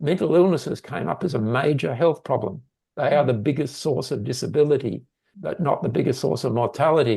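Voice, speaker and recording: Vocal fry runs through a dark, mellow voice with an Australian accent, delivered at a fairly quick pace. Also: man. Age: 70s. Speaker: mental health researcher. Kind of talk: interview.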